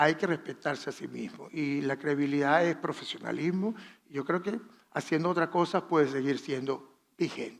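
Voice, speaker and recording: Pitched fairly high, a man talks at a moderate pace with ordinary pitch variation. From Venezuela, Valera. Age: 60s. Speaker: fashion designer. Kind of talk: masterclass talk.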